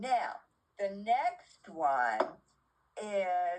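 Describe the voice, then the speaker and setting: The speaker is a woman. Her pitch swings very widely. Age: 80s+. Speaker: older woman demonstrating her makeup routine. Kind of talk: casual makeup tutorial. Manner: chatty, informal.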